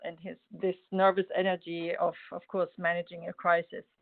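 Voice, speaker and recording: The speaker has a German accent and a moderate pace. The intonation is monotone and flat. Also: woman. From Germany. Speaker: mosaic artist and expat spouse. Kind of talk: personal testimony in webinar. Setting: video call webinar. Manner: halting, many fillers.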